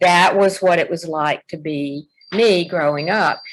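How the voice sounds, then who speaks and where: A woman talks with a Southern US accent. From US South, Alabama. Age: 70s. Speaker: poet and activist. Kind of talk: interview.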